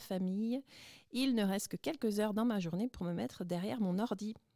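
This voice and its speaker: A woman talks at a medium pitch with ordinary pitch variation. Her tone is dark and mellow. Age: 40s. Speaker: student radio presenter. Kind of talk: testimony. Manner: scripted, fluent.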